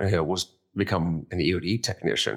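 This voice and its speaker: In a very clean recording with a silent background, a man with an American accent speaks fairly quickly at a very deep, low pitch. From US Midwest, northeast Ohio. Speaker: war veteran. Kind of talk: interview.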